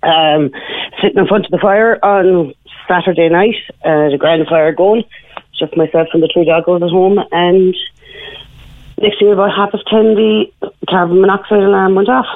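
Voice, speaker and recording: In a Cork accent, a woman speaks at a moderate pace and a medium pitch, with ordinary pitch variation. Her loudness stays very even, broken by long, frequent pauses. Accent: Irish (Cork). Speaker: caller. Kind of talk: radio phone-in interview.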